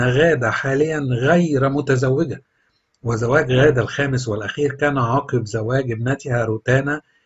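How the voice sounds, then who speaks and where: A man speaks with an Egyptian accent, somewhat breathy. His intonation stays fairly even. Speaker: celebrity news narrator. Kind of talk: scripted narration.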